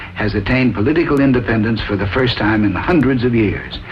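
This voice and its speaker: Over noticeable background noise, a man talks at a fairly quick pace in a medium pitch. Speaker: presidential candidate. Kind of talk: scripted political discussion. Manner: hesitant, many filler sounds.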